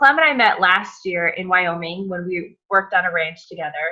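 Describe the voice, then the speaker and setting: With an American accent and lively intonation, a woman speaks at a moderate pace in an unremarkable speaking voice. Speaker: cooking channel host. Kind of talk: casual interview chat.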